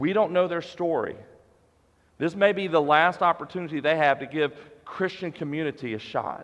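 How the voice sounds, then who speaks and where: This man talks at a moderate pace, his pitch fairly high. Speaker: pastor. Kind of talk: sermon. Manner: loud.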